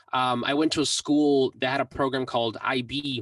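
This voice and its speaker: A man with an American accent, medium-pitched and monotone, with a dry, close sound and no echo. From Mexico, raised in the US from about age six. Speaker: music producer and YouTuber. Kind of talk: interview.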